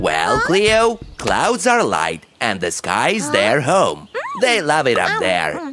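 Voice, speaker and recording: Faint music plays in the background. A man speaks at a very slow pace in a cartoonish character voice. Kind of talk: preschool cartoon voice acting. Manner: warm, patient, explaining.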